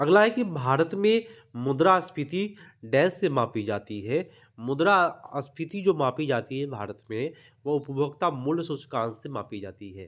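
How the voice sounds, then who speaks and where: This man's fairly high voice makes very wide pitch swings alongside big swings in loudness. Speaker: exam prep teacher. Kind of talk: tutorial.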